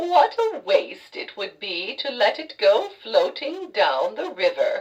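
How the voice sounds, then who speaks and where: The pitch is extremely high in this put-on character voice, which moves at a fairly slow pace. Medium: read story.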